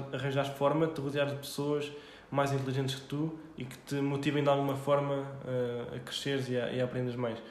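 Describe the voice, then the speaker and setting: Fairly high male voice at a moderate pace with monotone, flat intonation, noticeable background noise and audible room echo. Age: 20s. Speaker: startup founder and CEO. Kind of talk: casual interview chat.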